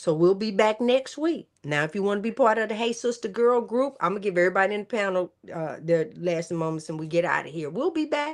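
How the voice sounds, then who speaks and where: A woman talks with an American accent at a medium pitch, an animated tone and very wide pitch swings. Her pace is fairly quick, with hardly any pauses. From US South, Memphis, Tennessee. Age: 60s. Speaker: podcast host, health coach. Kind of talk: casual panel chat.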